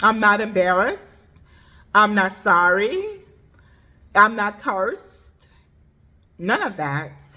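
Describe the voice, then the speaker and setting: Loud, bright and sharp woman's voice at medium pitch, very slow with long, frequent pauses and fairly even intonation. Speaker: vlogger sharing her journey of deafness. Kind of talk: personal vlog monologue. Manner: may speak loudly, cannot hear own voice; emphatic, repetitive.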